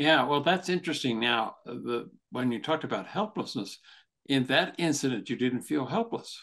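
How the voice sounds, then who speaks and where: Against a quiet background, a man talks at a moderate pace with a fairly high pitch and lively intonation. He has an ordinary speaking voice. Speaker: podcast host, therapist and author. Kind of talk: casual interview chat.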